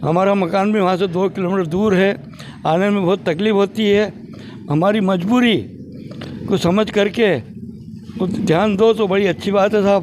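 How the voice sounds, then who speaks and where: Long, frequent pauses break up speech of very even loudness and fairly even intonation over noticeable background noise. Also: man, high pitch for a man. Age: 70s. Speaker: elderly villager. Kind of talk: street interview.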